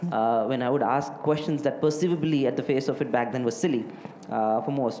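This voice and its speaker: Over noticeable background noise and audible room echo, a man with an Indian accent talks fairly quickly at a medium pitch with ordinary pitch variation. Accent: sounds Indian. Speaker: hotelier. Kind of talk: interview. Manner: hesitant, many fillers.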